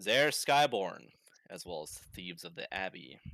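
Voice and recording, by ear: Putting on a loud, booming character voice, a man speaks at a moderate pace and fairly low pitch with very wide pitch swings.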